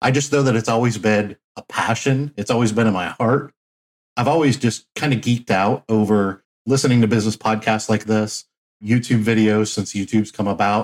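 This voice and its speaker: With a Midwestern American accent, a man of medium pitch speaks at a moderate pace and very even loudness. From Flint, Michigan. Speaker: laundromat entrepreneur. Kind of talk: interview.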